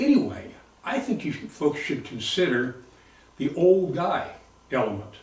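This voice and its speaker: Audible room echo follows a man speaking at a fairly slow pace with lively intonation. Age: 70s. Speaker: retired Marine veteran and competitive shooter. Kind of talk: audition video monologue.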